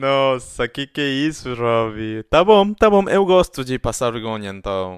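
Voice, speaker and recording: On a very clean recording with a silent background, a man speaks at a fairly slow pace and medium pitch. His pitch swings very widely, and the sound is dry and close with no echo. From Argentina. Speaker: podcast co-host. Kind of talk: casual chat.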